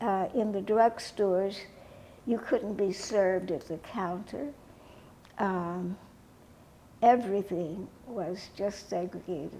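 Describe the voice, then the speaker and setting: Pausing long and often, a woman speaks at a very slow pace in a dark, mellow tone with medium pitch and ordinary pitch variation. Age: 80s+. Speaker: author, educator and civil rights activist. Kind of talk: interview answer.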